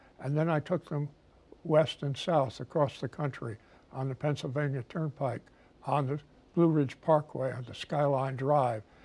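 A man's somewhat breathy, fairly high-pitched voice at a moderate pace, with fairly even intonation. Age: 80s+. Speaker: presidential historian. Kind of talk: interview answer. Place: studio. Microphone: lapel.

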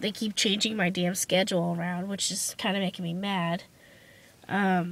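In a very clean recording with a silent background, a woman speaks at a moderate pace with a medium pitch and monotone, flat intonation. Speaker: beauty vlogger. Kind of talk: casual vlog. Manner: halting, many fillers.

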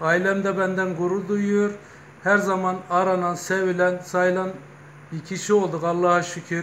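A high-pitched man at a fairly slow pace with monotone, flat intonation over light background noise. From Turkey, Kozan (Adana); Turkey. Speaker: retired bank manager and local party official; local politician. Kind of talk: interview. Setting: news office visit. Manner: hesitant with filler sounds. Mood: earnest, proud. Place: shop. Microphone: phone near.

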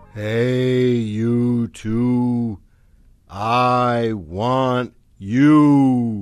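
A booming, put-on character voice from a man, medium in pitch, with fairly even intonation. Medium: read story.

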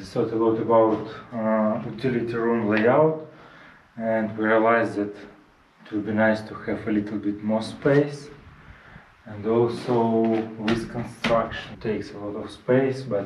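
A man's monotone, flat delivery with audible room echo and light background noise. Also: fairly slow pace. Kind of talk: casual vlog chat. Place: home room. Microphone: camera far.

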